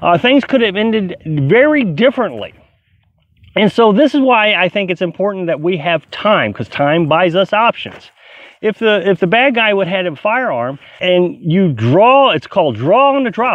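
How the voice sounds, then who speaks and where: A man speaks in a high voice at a moderate pace. The sound is dry with no echo. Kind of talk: casual vlog chat. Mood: earnest, explanatory. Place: open country. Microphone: phone near.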